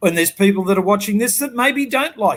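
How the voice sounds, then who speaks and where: Here a man talks in a strong Australian accent. His pitch is high and his tone animated. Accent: broad Australian. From Sydney, Australia (western suburbs). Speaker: business coach. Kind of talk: interview.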